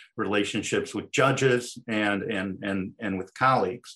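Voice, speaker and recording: A man speaks at a fairly slow pace in an unremarkable speaking voice, with fairly even intonation against a quiet background. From Chicago. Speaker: employment lawyer. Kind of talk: interview.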